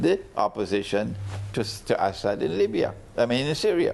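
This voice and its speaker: Very wide pitch swings from a man talking at a moderate pace. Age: 70s. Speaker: Islamic scholar. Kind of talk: TV interview.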